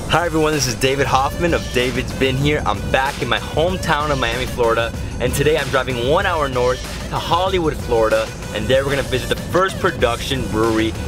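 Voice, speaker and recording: Clear music plays in the background as a man talks at a very fast pace with ordinary pitch variation. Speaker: travel vlogger. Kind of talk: casual vlog chat. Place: car. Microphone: phone near.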